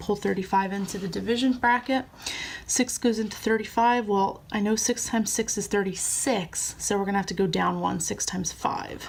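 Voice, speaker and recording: With fairly level intonation and a somewhat breathy quality, the speech moves at a medium speed. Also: woman, medium pitch for a woman. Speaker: teacher. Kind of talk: tutorial.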